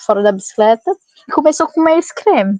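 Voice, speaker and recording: A woman's voice in dry, close sound with no echo. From Goiás, Brazil. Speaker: bicycle traveler. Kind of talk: podcast interview storytelling. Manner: animated.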